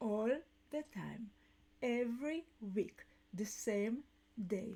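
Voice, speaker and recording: In a non-native accent, a woman talks at a very slow pace with a fairly high pitch, a dark, mellow tone and ordinary pitch variation. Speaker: business coach and podcast host. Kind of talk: live talk show monologue. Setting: live stream. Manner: halting.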